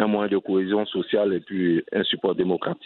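A man with a fairly low pitch and an unremarkable speaking voice talks at a moderate pace. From Côte d'Ivoire, Abidjan. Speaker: entrepreneur and NGO head. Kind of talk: interview.

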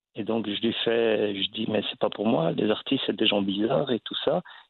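A man speaks at a moderate pace. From Belgium. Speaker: actor and comedian. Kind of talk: interview. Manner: halting.

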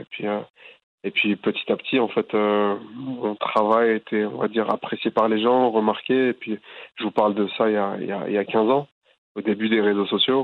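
A man is speaking. His pitch sits fairly low. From France, Boulogne-Billancourt near Paris. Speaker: artist, calligrapher. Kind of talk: interview. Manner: halting, many repetitions and fillers.

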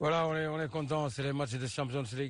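A man speaks with fairly even intonation. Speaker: football goalkeeper. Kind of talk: post-match interview. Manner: halting.

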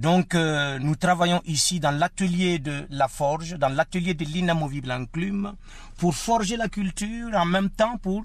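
Over a quiet background, a high-pitched man talks at a fairly slow pace with ordinary pitch variation. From Burkina Faso. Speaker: storyteller. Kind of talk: interview.

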